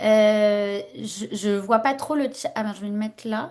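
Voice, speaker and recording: A quiet background behind a woman speaking at a medium pitch. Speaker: workshop facilitator. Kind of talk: online workshop presentation. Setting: video call. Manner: hesitant, many fillers.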